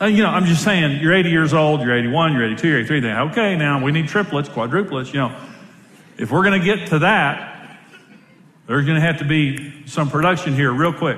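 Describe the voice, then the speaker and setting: Animated in tone, a man with a fairly high pitch talks at a moderate pace, using ordinary pitch variation and very even loudness. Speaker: pastor. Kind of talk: sermon. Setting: stage with audience.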